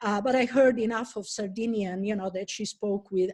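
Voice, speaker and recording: The speaker has an Italian accent. Their intonation stays fairly even. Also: woman. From Italy. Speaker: professor. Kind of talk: lecture. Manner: halting.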